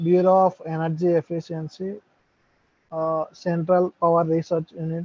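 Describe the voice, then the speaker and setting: Quiet and at a moderate pace, a man speaks with a high pitch and monotone, flat intonation. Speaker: student. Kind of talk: online class discussion. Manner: halting.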